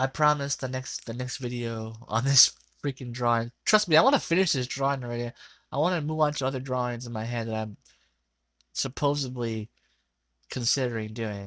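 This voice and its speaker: Recorded with a dry, close sound and no echo, a man at medium pitch talks at a fairly quick pace with ordinary pitch variation. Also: very clean recording, silent background. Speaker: digital artist narrating drawing video. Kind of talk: casual voiceover commentary. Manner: rambling, halting with many fillers.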